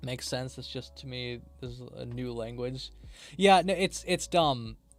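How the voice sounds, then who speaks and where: A man speaking at a moderate tempo is accompanied by background music. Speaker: streamer and game developer. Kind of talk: live stream commentary while coding. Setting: live stream. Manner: loud.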